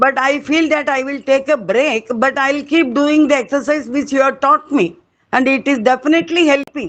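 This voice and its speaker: Her voice sits high in pitch, and this woman uses ordinary pitch variation. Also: moderate pace. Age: 80s+. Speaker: patient. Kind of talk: webinar question.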